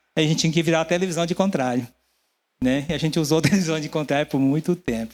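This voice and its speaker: Delivery from this man is very fast. The pitch runs fairly high. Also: ordinary pitch variation. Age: 60s. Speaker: pastor. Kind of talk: sermon.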